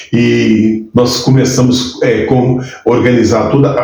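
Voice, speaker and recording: A man at medium pitch speaks with audible room echo and music in the background. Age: 60s. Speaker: pastor. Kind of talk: testimony.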